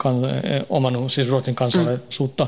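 This man's voice carries a touch of breathiness. Its pitch is medium. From Sweden, Stockholm suburb. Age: 40s. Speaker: prison inmate. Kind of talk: interview.

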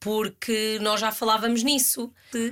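This woman has a plain, everyday voice with a fairly high pitch, speaking at a fairly slow pace. The recording is very clean, with a silent background. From Portugal, Aveiro. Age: 30s. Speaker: actress. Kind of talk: interview.

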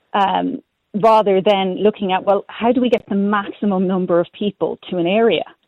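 Fairly even intonation accompanies speech at a moderate pace. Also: woman, medium pitch for a woman. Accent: Irish. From Ireland, Galway. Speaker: cycle commuter. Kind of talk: radio phone-in. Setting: phone call.

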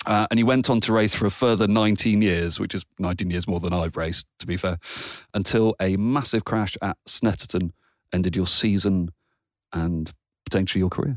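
This man speaks with a British accent, his voice fairly low and his pace fairly quick. Pitch varies in an ordinary way on a very clean recording with a silent background. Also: dry, close sound with no echo. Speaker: podcast host. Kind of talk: casual interview chat.

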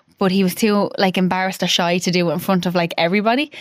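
On a very clean recording with a silent background, a woman with an Irish accent talks fairly quickly at a medium pitch with fairly even intonation. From Ireland (Dublin, then Offaly). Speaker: widow and clothing brand founder. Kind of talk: casual chat interview.

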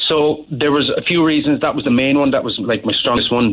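Speech in a Cork accent. The pitch moves in an ordinary way. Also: man. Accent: Cork Irish. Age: 30s. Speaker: life coach. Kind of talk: phone-in testimony. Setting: phone call.

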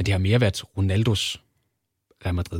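A man with a very deep, low pitch talks at a fairly quick pace in a flat monotone, a little breathy. The recording is very clean, with a silent background. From Denmark, Kolding. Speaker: sports journalist. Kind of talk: casual interview. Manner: halting, many fillers.

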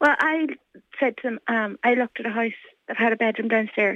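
A woman with a Donegal accent talks at a fairly quick pace. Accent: Donegal Irish. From Ireland, County Donegal. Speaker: mother seeking housing. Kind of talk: radio interview.

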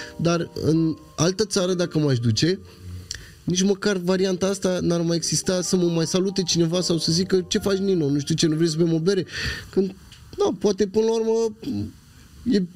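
A man speaks at a fairly quick pace in a high pitch. His pitch variation is ordinary and his loudness very even. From Craiova, Romania. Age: 30s. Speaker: rapper. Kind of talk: casual chat.

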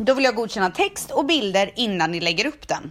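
Animated and very fast, a woman speaks with a fairly high pitch and very wide pitch swings. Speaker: podcast host. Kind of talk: casual chat.

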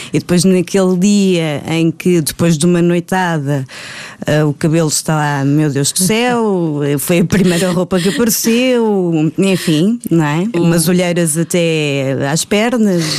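Speaking at a fairly slow pace, a woman has an ordinary speaking voice. Her pitch is fairly low, with ordinary pitch variation. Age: 30s. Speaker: actress. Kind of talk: casual chat.

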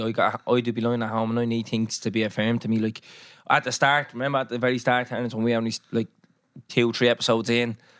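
In a very clean recording with a silent background, a man talks at a very fast pace with an Irish accent. His medium-pitched delivery is monotone, with flat intonation. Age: 20s. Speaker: podcast host. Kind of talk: casual chat.

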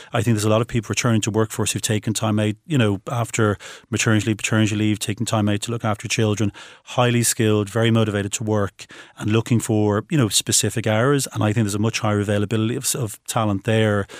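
A man's fairly low, monotone voice at a very fast pace, dry and close with no echo, on a very clean recording with a silent background. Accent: Irish. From Ireland. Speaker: recruitment business founder. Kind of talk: interview. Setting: studio.

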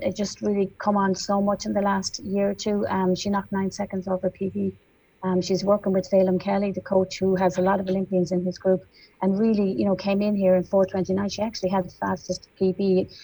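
A woman with an Irish accent talks at a moderate pace and medium pitch in a dark, mellow, somewhat breathy tone with fairly even intonation. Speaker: sports journalist and presenter. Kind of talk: radio interview.

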